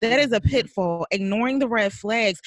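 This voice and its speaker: A woman with a normal speaking voice talks at a moderate pace, fairly high in pitch with lively intonation, in a dry, close sound with no echo. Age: 40s. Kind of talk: casual chat.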